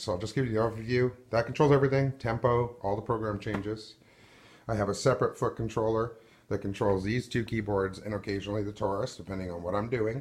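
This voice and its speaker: Against a quiet background, a man talks at a very fast pace. His medium-pitched voice is somewhat breathy, with fairly even intonation. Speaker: musician. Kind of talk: casual talk to camera. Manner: awkward.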